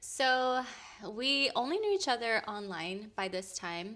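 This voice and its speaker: A woman's high-pitched voice with an American accent, at a very slow pace. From Orange County, California. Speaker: content creator. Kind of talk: casual chat.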